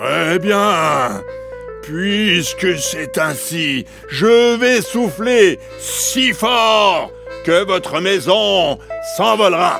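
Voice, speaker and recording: Over clear music in the background, a man puts on a character voice with a high pitch and a very slow pace. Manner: menacing.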